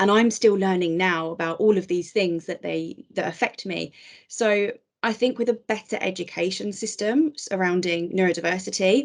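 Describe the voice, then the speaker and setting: A woman speaks in a normal speaking voice at a moderate pace. Her pitch is medium, with ordinary pitch variation. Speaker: HR advisor with ADHD, podcast guest. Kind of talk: podcast interview.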